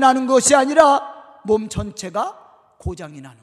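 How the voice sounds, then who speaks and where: The speaker is a man. His pitch moves with ordinary variation. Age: 50s. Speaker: pastor. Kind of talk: sermon. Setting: church.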